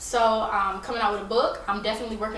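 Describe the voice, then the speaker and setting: There is noticeable background noise and audible room echo as a woman with a slight Southern US accent speaks at a fairly high pitch. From US South, Raleigh, North Carolina. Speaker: rapper and TV personality. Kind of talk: interview. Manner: casual, hesitant with fillers.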